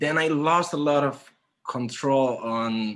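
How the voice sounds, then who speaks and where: A man speaks with a Spanish accent. His pitch varies in an ordinary way. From Spain (Santander, north). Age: 30s. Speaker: graphic designer. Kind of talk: conference talk. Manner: halting.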